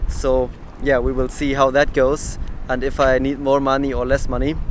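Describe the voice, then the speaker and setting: A man with a German accent talks at a moderate pace in a fairly high pitch. Noticeable background noise sits behind him. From southern Germany. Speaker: travel vlogger. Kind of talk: casual vlog talk to camera, answering viewer questions. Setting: outdoors. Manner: animated.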